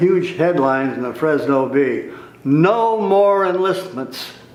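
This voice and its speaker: With an American accent, a man talks at a very slow pace and ordinary pitch variation, with noticeable background noise and audible room echo. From California Central Valley (Tulare). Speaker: war veteran. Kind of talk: oral history interview.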